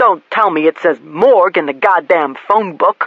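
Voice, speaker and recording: A man puts on a growling character voice at a high pitch. He keeps a moderate pace. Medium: read story. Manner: blunt, coarse.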